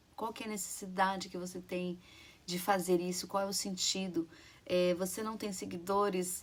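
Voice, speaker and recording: Monotone, flat intonation from a woman at medium pitch and a moderate pace. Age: 40s. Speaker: YouTuber sharing public speaking tips. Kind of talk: motivational talk to camera. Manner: halting, with fillers.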